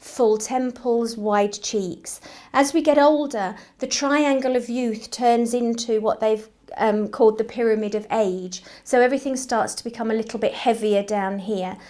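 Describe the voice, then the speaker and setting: At a moderate pace, a woman with a fairly high pitch and a dark, mellow tone speaks with ordinary pitch variation. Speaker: nurse. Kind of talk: informational talk to camera. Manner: conversational, slightly hesitant.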